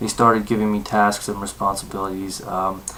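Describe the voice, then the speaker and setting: Speech comes at a moderate pace in a monotone, flat intonation. Audible room echo and noticeable background noise surround it. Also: man. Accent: American. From Southern California. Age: 20s. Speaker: university student. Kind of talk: self-introduction for a class assignment. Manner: halting, many fillers.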